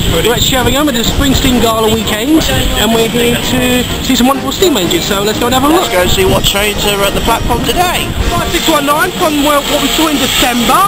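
A man speaks fairly quickly through loud background noise. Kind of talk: casual vlog chat. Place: station. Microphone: phone near.

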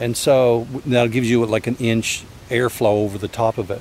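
A man talks at a moderate pace in a dry sound with no echo, with light background noise behind him. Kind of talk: casual vlog chat. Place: open country. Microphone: phone near.

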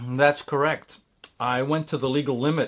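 In a normal speaking voice with an American accent, a man talks at a fairly high pitch and moderate pace with ordinary pitch variation, on a very clean recording with a silent background. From USA (Swiss citizen). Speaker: scientist and writer. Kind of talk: interview testimony. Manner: formal.

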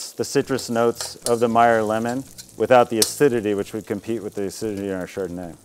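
Light background noise is audible. A man talks at a moderate pace with ordinary pitch variation. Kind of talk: tutorial. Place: garden.

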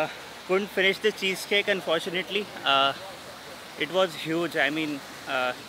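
A man speaks in a raised, projected voice, with a dry sound and no echo, amid noticeable background noise. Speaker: vlogger. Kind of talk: casual vlog chat. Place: street. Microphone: phone near.

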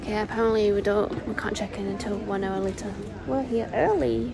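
A woman speaks at a moderate pace with music playing in the background. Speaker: vlogger. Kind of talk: casual vlog chat. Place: hall. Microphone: phone near.

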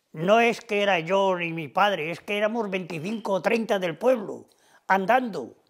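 This man talks at a fairly slow pace with ordinary pitch variation against a quiet background. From Cantabria, Spain (Tagle, Suances); Cantabria. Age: 80s+. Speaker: retired factory worker and cattle farmer. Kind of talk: oral history interview. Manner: halting with repetitions. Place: home room.

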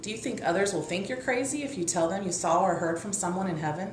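A woman with an American accent over noticeable background noise. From US Midwest. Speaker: author. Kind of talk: scripted book promotion talk. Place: home room. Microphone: webcam.

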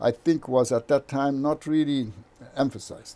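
A man with a Brazilian accent, fairly high in pitch, at a moderate pace. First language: Portuguese. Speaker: engineering professor and novelist. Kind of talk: interview conversation.

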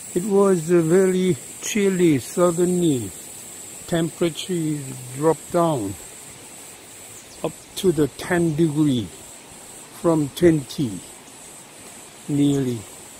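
Speech creeps along at a very slow pace with long, frequent pauses, the sound dry with no echo and light noise in the background. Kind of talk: casual vlog commentary. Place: forest. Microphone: phone near.

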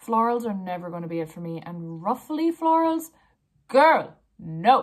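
Over a quiet background, a woman talks at a fairly slow pace, with very wide pitch swings and big swings in loudness. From Ireland. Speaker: blogger. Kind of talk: casual talk to camera. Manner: playful, judgemental. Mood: playful, judgemental. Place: home room. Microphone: phone near.

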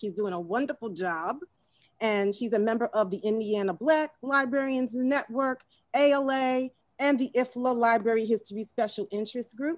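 A woman's voice, with ordinary pitch variation at a moderate pace, comes through dry with no echo against a quiet background. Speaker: panel moderator. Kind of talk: webinar introduction, partly read. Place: office. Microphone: video call.

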